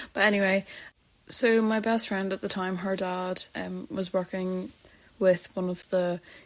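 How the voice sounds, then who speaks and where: Here a woman speaks with a Northern Irish accent. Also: very clean recording, silent background. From Northern Ireland. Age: 20s. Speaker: podcast host. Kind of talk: personal storytelling podcast.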